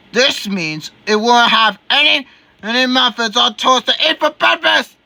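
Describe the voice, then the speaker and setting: In a put-on character voice, the speaker sounds gruff and rumbling, with fairly high pitch and a moderate pace. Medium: read story. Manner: gruff, grumbling.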